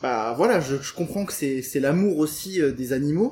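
His intonation is lively and his voice somewhat breathy. This man has a fairly high pitch. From rural France, Portuguese farming family. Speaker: vegan nutritionist and trainer. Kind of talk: interview. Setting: house open to the jungle, in person.

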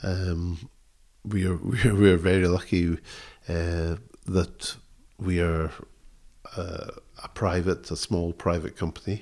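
A man with a Scottish accent speaks at a fairly slow pace in a very deep, low voice, with fairly even intonation and long, frequent pauses, on a very clean recording with a silent background. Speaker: textile designer. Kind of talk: interview. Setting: tweed mill. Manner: halting.

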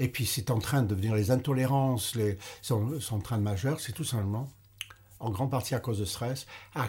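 Recorded very cleanly against a silent background, a man speaks in a somewhat breathy voice at medium pitch with ordinary pitch variation. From English-speaking Canada. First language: English (speaking French). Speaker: retired doctor and author. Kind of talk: interview.

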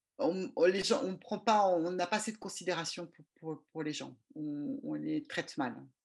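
Speaking fairly slowly, a woman with a fairly low pitch and vocal fry uses lively intonation. Her loudness swings widely against a quiet background. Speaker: regulatory affairs consultant. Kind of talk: interview. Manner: halting.

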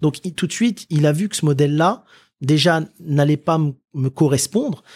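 In a very clean recording with a silent background and a dry, close sound with no echo, a man has an ordinary speaking voice with a fairly high pitch and ordinary pitch variation. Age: 30s. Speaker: entrepreneur. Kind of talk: interview. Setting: office.

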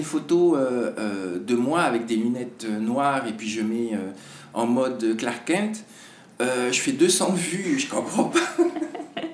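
Lively in intonation, a man speaks at medium pitch and a very slow pace. Audible room echo and noticeable background noise surround him. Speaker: TV presenter. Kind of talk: casual interview. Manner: halting.

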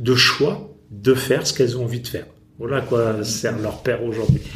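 A man talks at a moderate pace. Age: 50s. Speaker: company founder. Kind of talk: interview. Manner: halting.

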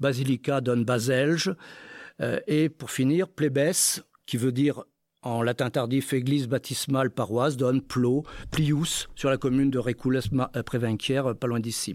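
A man speaks at a medium pitch and a fairly slow pace with fairly even intonation, his voice dry and close with no echo on a very clean recording over a silent background. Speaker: retired geologist and linguist. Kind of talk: panel talk at public event. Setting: stage with audience. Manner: halting.

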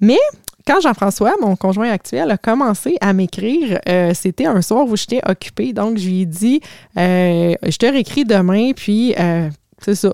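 A woman with a dark, mellow tone talks fairly slowly with lively intonation, and the sound is dry and close with no echo. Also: medium pitch for a woman, very clean recording, silent background. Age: 40s. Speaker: life coach. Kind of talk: casual storytelling monologue.

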